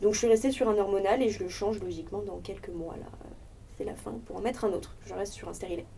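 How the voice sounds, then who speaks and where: A woman talks at a very fast pace with big swings in loudness. Noticeable background noise and audible room echo fill the recording. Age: 20s. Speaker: sex education project member. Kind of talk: casual discussion.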